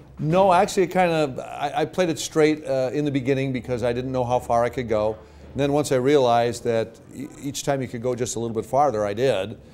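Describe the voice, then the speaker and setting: A man with an unremarkable speaking voice talks at a medium pitch with ordinary pitch variation and hardly any pauses. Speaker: hockey public address announcer. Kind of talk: interview answer. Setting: indoor interview.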